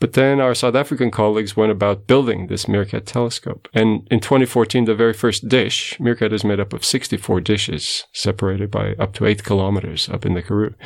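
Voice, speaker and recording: In a Portuguese accent, a man speaks at a fairly quick pace with a fairly low pitch, vocal fry, and ordinary pitch variation. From Portugal. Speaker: radio astronomer. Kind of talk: interview.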